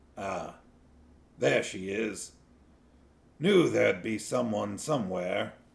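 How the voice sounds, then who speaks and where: A put-on character voice proceeds at a fairly slow pace with long, frequent pauses. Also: man, fairly low pitch for a man. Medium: read story. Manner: curt, sour.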